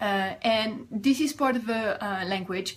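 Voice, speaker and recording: Against noticeable background noise, a woman in a French accent speaks at a medium pitch with ordinary pitch variation. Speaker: life coach. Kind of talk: vlog advice talk.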